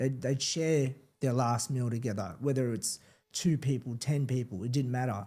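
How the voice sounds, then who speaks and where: Speaking with an Australian accent at a moderate pace, a man has a medium pitch, ordinary pitch variation, and a dark, mellow tone. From Melbourne northern suburbs, Australia (born Philippines, arrived age four). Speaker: professional boxer. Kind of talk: interview, personal story. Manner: casual, many fillers and repetitions.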